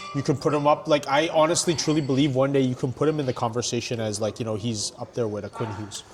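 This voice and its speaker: A man talks at a very fast pace with hardly any pauses. Music plays in the background. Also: medium pitch for a man, ordinary pitch variation. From Canada. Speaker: ring announcer and hype man. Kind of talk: podcast interview answer. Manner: casual, conversational.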